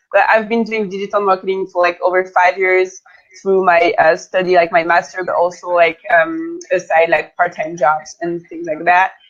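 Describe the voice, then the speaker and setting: A woman talks at a moderate pace in a medium pitch with monotone, flat intonation. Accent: French. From France. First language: French. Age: 20s. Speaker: digital marketing consultant. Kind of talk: interview.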